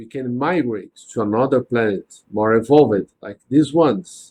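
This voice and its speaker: A man speaks with a non-native accent at a medium pitch and a fairly slow pace. His pitch varies in an ordinary way, and the sound is dry and close with no echo. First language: not English. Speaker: spiritist study group leader. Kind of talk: religious study discussion. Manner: halting, with frequent restarts.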